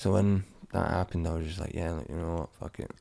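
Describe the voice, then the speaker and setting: Very deep and low in pitch, a man speaks with a dark, mellow tone and vocal fry at a very fast pace. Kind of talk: casual chat.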